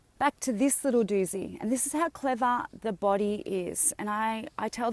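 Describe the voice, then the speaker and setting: A woman is speaking. She has an Australian accent. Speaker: health and wellness coach. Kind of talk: live video talk to viewers. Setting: outdoors on a beach.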